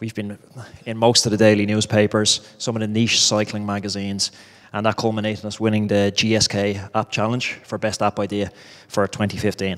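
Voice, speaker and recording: A man with an Irish accent talks at a fairly quick pace, with a fairly low pitch and monotone, flat intonation. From Ireland. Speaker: startup founder, former professional cyclist. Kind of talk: startup pitch.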